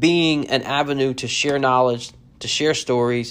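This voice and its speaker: A man with an American accent and medium pitch talks at a fairly slow pace with fairly even intonation on a very clean recording with a silent background. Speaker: firefighter podcast host. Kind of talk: casual solo update. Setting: on location at a conference, alone.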